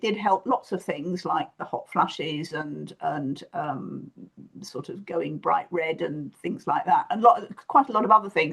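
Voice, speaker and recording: With music in the background, a woman speaks at a fairly slow pace, her loudness swinging a lot. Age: 70s. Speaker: podcast host. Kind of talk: casual chat. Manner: halting.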